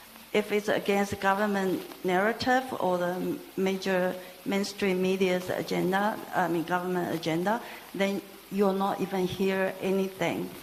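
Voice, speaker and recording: Noticeable background noise accompanies a woman at a medium pitch. She keeps a moderate pace, very even loudness and fairly even intonation. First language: not English. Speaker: audience member asking a question. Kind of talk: audience question at a talk. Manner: halting.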